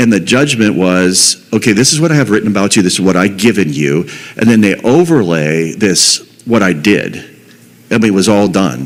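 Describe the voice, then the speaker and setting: A man with a fairly low pitch and an American accent, lively intonation at a moderate pace, noticeable background noise behind him. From Pittsburgh, US. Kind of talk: testimony. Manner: halting, repetitive.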